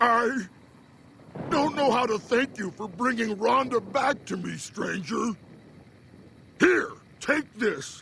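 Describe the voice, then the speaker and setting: Using a put-on character voice at an extremely high pitch, a man speaks at a fairly slow pace with long, frequent pauses. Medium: video game.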